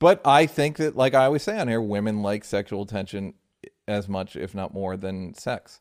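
Here is a man with a normal speaking voice, pitched fairly low. He keeps a moderate pace with ordinary pitch variation. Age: 40s. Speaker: podcast host. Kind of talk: casual chat. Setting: remote call.

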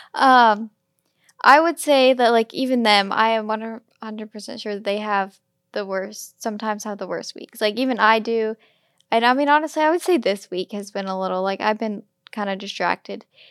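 A woman with a plain, everyday voice, fairly high in pitch, at a moderate pace, with ordinary pitch variation, big swings in loudness, and a very clean recording over a silent background. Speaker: podcast host. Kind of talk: casual chat.

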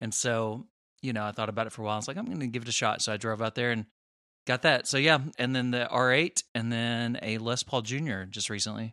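A man with an American accent talks very fast at a medium pitch, his tone bright and sharp and his intonation fairly even. The sound is dry and close with no echo, in a very clean recording with a silent background. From Southern Illinois. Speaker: guitarist co-host. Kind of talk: casual chat.

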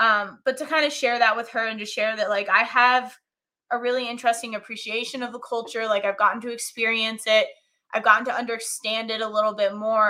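A woman with an American accent, a fairly high pitch, a bright, sharp tone, fairly even intonation and a moderate pace. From US, military upbringing (Colorado-born). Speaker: hockey fan and social media personality. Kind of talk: casual chat.

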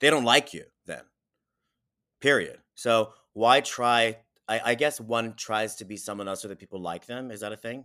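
With big swings in loudness and an animated, energetic tone, a man at medium pitch talks at a moderate pace with long, frequent pauses, in a very clean recording over a silent background. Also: ordinary pitch variation. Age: 40s. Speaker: celebrity fitness trainer. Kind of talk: casual interview. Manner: halting with frequent repetitions.

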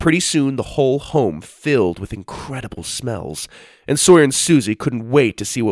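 The words are read aloud. It is a natural reading voice.

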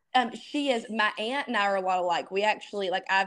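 The speaker has a strong Southern US accent. The pace is moderate and the pitch variation ordinary. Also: woman. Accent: thick Southern US. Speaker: epilepsy advocate. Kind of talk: casual chat.

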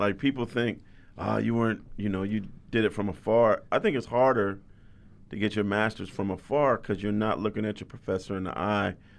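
A man speaks fairly quickly in an ordinary speaking voice, with an American accent, fairly low pitch and fairly even intonation. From California, San Jose. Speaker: sports journalist. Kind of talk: interview.

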